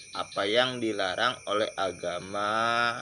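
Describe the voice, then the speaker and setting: In a room with audible echo, a man talks very slowly in a bright, sharp tone, his pitch fairly low. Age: 20s. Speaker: video blogger. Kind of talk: informal lecture monologue.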